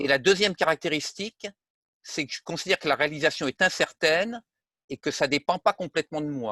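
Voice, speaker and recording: A man's fairly high-pitched voice, bright and sharp in tone, with ordinary pitch variation, dry, close sound with no echo and a quiet background. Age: 70s. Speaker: retired armament engineer. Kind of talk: interview. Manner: hesitant, many fillers.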